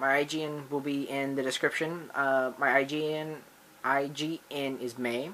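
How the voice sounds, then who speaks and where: A man's bright, sharp voice stays monotone, with flat intonation. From United States. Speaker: gaming YouTuber. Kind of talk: channel introduction vlog. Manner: halting, many fillers and restarts.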